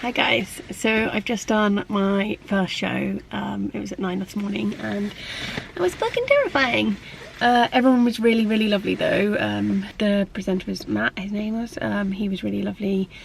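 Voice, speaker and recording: Amid noticeable background noise, a woman talks at a moderate tempo. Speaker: lettering artist and vlogger. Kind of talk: vlog. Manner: casual with many fillers.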